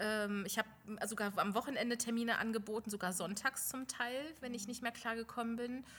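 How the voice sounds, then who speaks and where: Speaking at a fairly quick pace, a woman with a fairly high pitch has an unremarkable speaking voice and fairly even intonation. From Lower Saxony, Germany. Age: 40s. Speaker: beautician, studio owner. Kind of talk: interview. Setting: studio.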